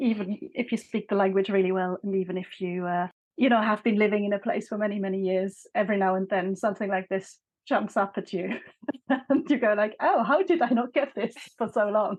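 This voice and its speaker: In a German accent, a woman speaks at a medium pitch and a fairly quick pace with ordinary pitch variation. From Switzerland, Bern. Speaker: author. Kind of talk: interview conversation.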